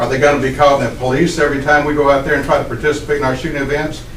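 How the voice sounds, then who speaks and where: A man with a fairly high pitch talks through audible room echo and noticeable background noise. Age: 70s. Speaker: resident speaking at public hearing. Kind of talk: public comment. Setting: county planning meeting.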